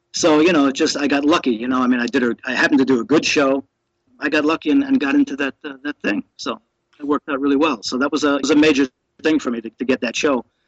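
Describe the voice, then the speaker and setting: Talking at a very fast pace, a man with a fairly high pitch keeps his intonation fairly even, in a dry, close sound with no echo. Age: 60s. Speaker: professional juggler. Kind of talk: casual chat. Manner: halting.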